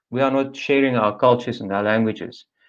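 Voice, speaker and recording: This man speaks with a South African accent. The background is quiet. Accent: Afrikaans South African. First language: Afrikaans. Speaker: panelist for an Afrikaans language association. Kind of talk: webinar presentation.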